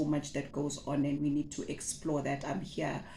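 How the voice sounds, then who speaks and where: A woman with a Zulu accent talks in a very deep, low pitch and a dark, mellow tone, with audible room echo around her. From South Africa. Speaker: butcher and meat-processing entrepreneur, former teacher. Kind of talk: casual vlog introduction. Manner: hesitant, with many fillers and repetitions.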